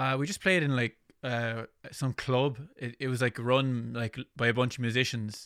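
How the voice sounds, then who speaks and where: Keeping a moderate pace and fairly even intonation, a man at medium pitch talks in a normal speaking voice. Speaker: podcast host and bass player. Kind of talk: casual interview.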